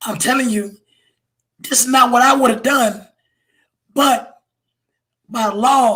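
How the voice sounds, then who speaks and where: A man uses a raised, projected voice pitched extremely high. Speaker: police officer. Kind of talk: casual chat. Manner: animated.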